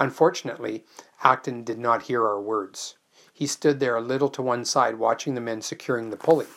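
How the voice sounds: Delivery in a natural reading voice.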